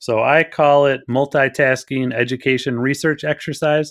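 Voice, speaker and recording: A man's medium-pitched voice with an American accent and fairly even intonation. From Wisconsin. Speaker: school district curriculum director. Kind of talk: podcast interview. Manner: fast.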